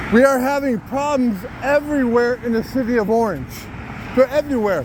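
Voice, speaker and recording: Loud speech moves at a fairly quick pace over noticeable background noise. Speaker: citizen journalist. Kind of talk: walking vlog monologue.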